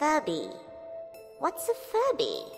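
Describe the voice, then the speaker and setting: Someone performs a put-on character voice with clear music in the background. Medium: read story. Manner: coaxing, friendly.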